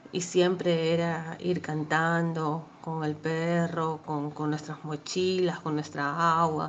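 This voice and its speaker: A woman's fairly low voice comes through in a monotone, flat delivery with audible room echo. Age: 30s. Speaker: bereaved daughter. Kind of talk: testimony. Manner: halting.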